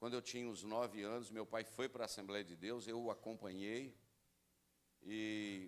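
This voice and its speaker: The intonation stays monotone and flat. Delivery moves at a moderate pace. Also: man. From Brazil, rural area. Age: 60s. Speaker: pastor. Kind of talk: sermon. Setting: church.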